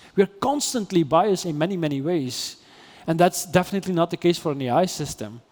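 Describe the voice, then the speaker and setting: This man speaks with a Dutch accent at a fairly quick pace. His pitch is high, with ordinary variation. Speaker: AI ethics philosopher. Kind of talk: interview conversation. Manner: halting, many repetitions and fillers.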